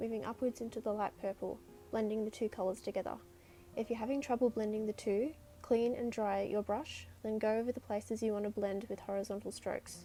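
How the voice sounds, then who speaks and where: The speaker has an Australian accent. Delivery is fairly quick with fairly even intonation. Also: woman. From Sydney, Australia. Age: 20s. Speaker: artist. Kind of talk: painting tutorial narration.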